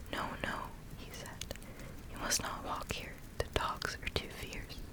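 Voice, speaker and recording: Whispering over noticeable background noise. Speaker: ASMR creator. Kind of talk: whispered reading aloud. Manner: slow.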